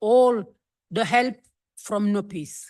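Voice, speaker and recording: Against a quiet background, a woman with a non-native accent speaks at a very slow pace, her fairly high pitch showing ordinary variation. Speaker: activist. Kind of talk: conference speech.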